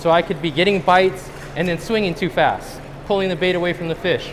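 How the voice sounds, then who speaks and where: A man talks at a high pitch and a fairly quick pace, keeping his intonation fairly even. Noticeable background noise is present. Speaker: presenter. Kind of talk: lecture. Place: hall.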